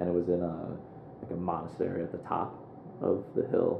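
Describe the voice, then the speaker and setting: With a Midwestern American accent, a man speaks at a very deep, low pitch amid audible room echo. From US Midwest, Quad Cities (Moline, Illinois). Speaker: app startup founder. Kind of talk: interview conversation.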